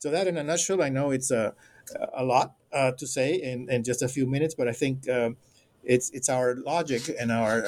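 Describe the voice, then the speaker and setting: Speaking with a Spanish accent, a man at medium pitch keeps a moderate pace and fairly even intonation. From Puerto Rico. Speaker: anthropology professor. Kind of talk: interview. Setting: remote call. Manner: halting.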